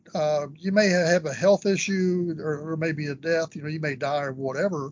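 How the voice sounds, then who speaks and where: Speaking at a moderate pace, a man with a Texan accent has a fairly high pitch. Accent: Texan accent, noticeable. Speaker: business valuation expert. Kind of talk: casual interview.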